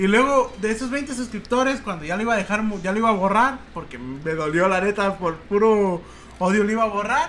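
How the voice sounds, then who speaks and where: With a Mexican accent, a man talks at a fairly quick pace in a high voice with lively intonation. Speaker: youtuber and podcast co-host. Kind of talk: casual chat. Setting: home, sitting on a bed at a computer.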